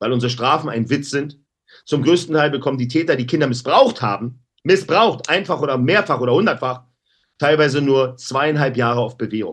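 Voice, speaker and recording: An animated man at a fairly high pitch, fairly quick pace and ordinary pitch variation, against a quiet background. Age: 50s. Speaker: anti-bullying activist. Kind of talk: interview. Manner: loud.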